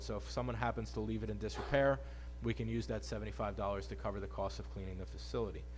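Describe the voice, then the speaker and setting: Music plays in the background as a man talks at a very fast pace, with audible room echo. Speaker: town official chairing board meeting. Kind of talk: public meeting report.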